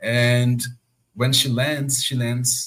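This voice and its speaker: With a Portuguese accent, a man speaks at a very slow pace. His medium-pitched voice stays monotone and flat. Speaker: podcast host. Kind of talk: casual chat.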